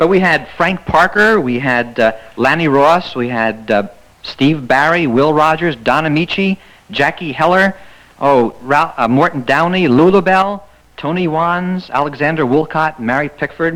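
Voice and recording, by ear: At a moderate pace, a man speaks at a fairly high pitch with a fairly bright tone and ordinary pitch variation.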